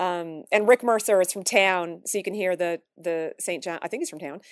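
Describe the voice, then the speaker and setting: A woman talks at a moderate pace with a Newfoundland accent. Her pitch sits fairly low. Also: dry, close sound with no echo. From Newfoundland, Canada. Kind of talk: casual interview chat. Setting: video call.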